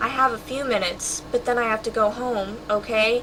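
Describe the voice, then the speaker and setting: A woman in a shaky, put-on character voice speaks at a moderate pace in a fairly high pitch over clear background noise. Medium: read story. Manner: frightened, trembling.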